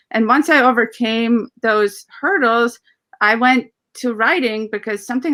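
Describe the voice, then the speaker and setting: On a very clean recording with a silent background, the voice has a bright, sharp tone, ordinary pitch variation, and a moderate pace. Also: woman. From Ukraine (Russian-speaking, Soviet era). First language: Russian. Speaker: composer and lyricist. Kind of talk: interview. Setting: livestream.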